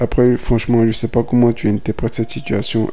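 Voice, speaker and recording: Noticeable background noise accompanies a man speaking at a moderate pace and medium pitch in a monotone, flat intonation. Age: 20s. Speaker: podcaster. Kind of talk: casual monologue. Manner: casual, hesitant.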